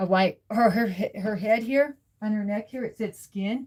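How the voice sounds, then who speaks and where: A woman at a medium pitch, somewhat breathy, talks at a moderate pace with ordinary pitch variation. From Nova Scotia, Canada. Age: 40s. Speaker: live streamer. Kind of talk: casual chat. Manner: halting, many fillers.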